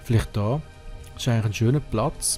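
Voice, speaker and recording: A man at medium pitch with music in the background. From Switzerland. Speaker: let's play gamer. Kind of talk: casual gameplay commentary.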